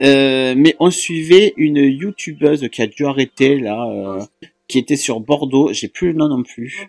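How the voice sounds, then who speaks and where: At a very slow pace, a man with a southern French accent speaks at a fairly high pitch with ordinary pitch variation, the sound dry and close with no echo. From southern France. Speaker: YouTube vlogger. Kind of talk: casual chat.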